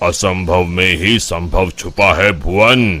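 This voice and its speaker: Using a cartoonish character voice, a man speaks at a very deep, low pitch and a fairly slow pace with ordinary pitch variation. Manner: calm, measured.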